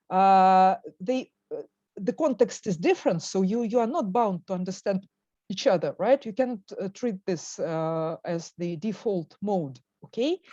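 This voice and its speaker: Dry and close with no echo, a woman's voice has a dark, mellow tone at medium pitch. She speaks at a fairly slow pace with lively intonation. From Russia. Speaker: professor. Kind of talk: lecture.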